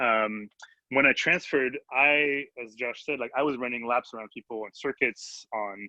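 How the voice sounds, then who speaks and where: This voice carries a French accent. The intonation stays fairly even. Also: man. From France. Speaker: electrical engineer. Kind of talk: panel discussion. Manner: halting.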